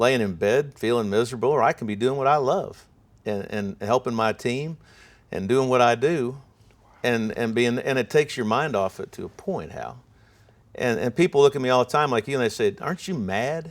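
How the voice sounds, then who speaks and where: A man with an unremarkable speaking voice and an American accent, medium in pitch, with lively intonation at a moderate pace, in a very clean recording with a silent background. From Ohio. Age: 60s. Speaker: sports broadcaster. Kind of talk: interview conversation.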